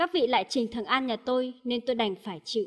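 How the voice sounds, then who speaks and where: The recording is very clean, with a silent background. A woman speaks at a moderate pace in a high voice. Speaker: news commentator reading reports. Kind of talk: news reading.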